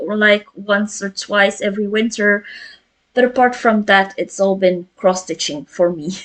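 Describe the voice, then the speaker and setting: Speaking with a Flemish accent, a woman uses a fairly high pitch and fairly even intonation. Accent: Flemish Belgian. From Flemish Belgium. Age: 30s. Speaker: cross stitch vlogger. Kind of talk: casual chat. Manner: halting.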